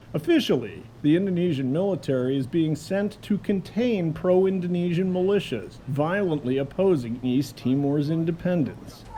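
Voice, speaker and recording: A fairly high-pitched man at a moderate pace, lively in intonation with hardly any pauses, amid noticeable background noise. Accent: American. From United States. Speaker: war correspondent and documentary narrator. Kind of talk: documentary narration.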